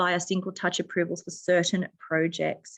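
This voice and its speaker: The background is quiet. A woman with an Australian accent speaks at a medium pitch. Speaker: political candidate. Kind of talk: candidate forum answer. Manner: formal.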